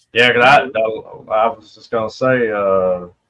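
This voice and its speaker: A man with an American accent, a bright, sharp tone and a very slow pace. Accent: Louisiana-like Southern US. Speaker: live stream guest, toy collector. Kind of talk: casual chat.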